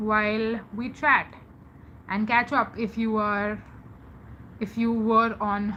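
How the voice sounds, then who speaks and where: A woman speaks with an Indian accent in a fairly high voice. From India, Mumbai. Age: 20s. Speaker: live streamer. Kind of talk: casual chat. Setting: live stream.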